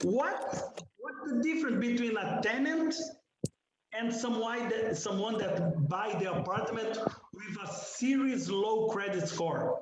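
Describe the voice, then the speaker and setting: In a non-native accent, a man with an extremely high pitch and lively intonation speaks at a very slow pace amid audible room echo. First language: not English. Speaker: condo owner. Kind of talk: heated debate.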